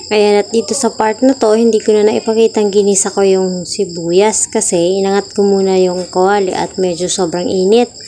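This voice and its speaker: Over music in the background, a woman speaks at a moderate pace and a medium pitch. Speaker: cooking vlogger. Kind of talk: cooking tutorial. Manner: loud.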